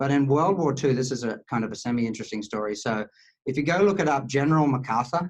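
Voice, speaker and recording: A very fast-talking man in an Australian accent, medium-pitched with ordinary pitch variation. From Australia, rural Queensland (Charleville). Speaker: cloud software engineer. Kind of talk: podcast interview. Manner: halting, many fillers.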